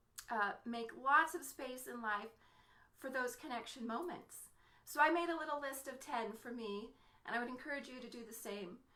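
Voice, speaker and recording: Set in audible room echo, a woman speaks at a moderate pace with a high pitch and ordinary pitch variation. Her tone is bright and sharp, with big swings in loudness. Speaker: mother and entrepreneur vlogger. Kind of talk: motivational Facebook live talk. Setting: home office, live stream.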